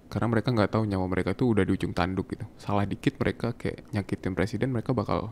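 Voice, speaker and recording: A man talks at a very fast pace with hardly any pauses. His pitch is fairly low and his intonation fairly even. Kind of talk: ASMR boyfriend roleplay. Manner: soft-spoken, affectionate.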